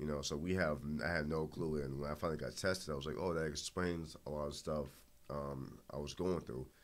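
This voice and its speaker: In a Boston accent, a man talks at a fairly quick pace with a very deep, low pitch and fairly even intonation. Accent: Boston urban American English. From Boston, Dorchester. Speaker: MMA fighter. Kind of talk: interview. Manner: halting.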